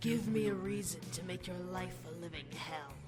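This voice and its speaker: Over loud music in the background, someone uses a put-on character voice with a menacing tone. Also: moderate pace. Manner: cold, menacing.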